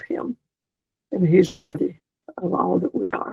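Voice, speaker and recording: With a Southern US accent, a woman talks at a moderate pace. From US South, South Carolina countryside. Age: 80s+. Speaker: retired missionary. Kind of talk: interview. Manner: animated.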